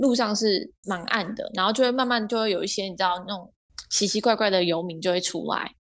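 A woman with an ordinary speaking voice talks at a fairly high pitch and a moderate pace. Her pitch variation is ordinary, and the background is quiet. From Taiwan, Kaohsiung. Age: 20s. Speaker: finance graduate. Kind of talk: interview.

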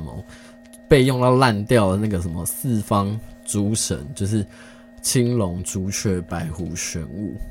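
Noticeable background noise runs behind a man speaking at a very slow pace. His fairly low voice has lively intonation. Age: 30s. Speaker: podcast host. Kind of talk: casual solo chat. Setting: home recording late at night. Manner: halting, many pauses.

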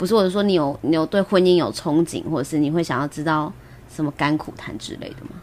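A woman's very deep, low voice at a very fast pace, with big swings in loudness and ordinary pitch variation. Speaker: podcast host. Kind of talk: casual chat. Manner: frequent laughter.

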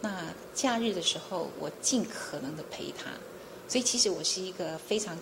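A soft-spoken woman with lively intonation, amid audible room echo and noticeable background noise. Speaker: chief prosecutor. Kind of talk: interview.

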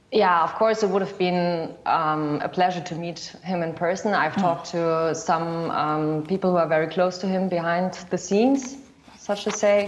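With audible room echo, a woman talks with hardly any pauses. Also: fairly low pitch for a woman, ordinary pitch variation, moderate pace. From Germany. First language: German (speaking Chinese). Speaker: documentary filmmaker. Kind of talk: interview. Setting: video call.

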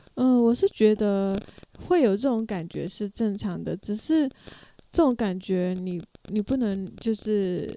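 A woman at medium pitch, ordinary pitch variation and a fairly slow pace. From Myanmar. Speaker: emcee and performing arts student. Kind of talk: casual chat.

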